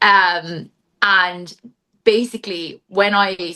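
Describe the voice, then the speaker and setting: With a Cork accent, a woman speaks in a bright, sharp tone and fairly even intonation. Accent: Irish (Cork), moderately strong. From Ireland, Cork. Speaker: book content creator and accountant. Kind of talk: casual interview chat. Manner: chatty, filler-heavy (like, um).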